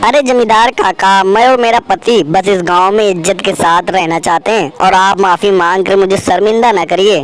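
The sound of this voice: A female-sounding cartoonish character voice at medium pitch rattles on with hardly any pauses over clear background noise. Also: moderate pace.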